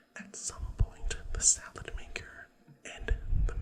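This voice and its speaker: A man whispers. There is noticeable background noise. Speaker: ASMR and podcast creator. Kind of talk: ASMR storytime. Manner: whispered, soft.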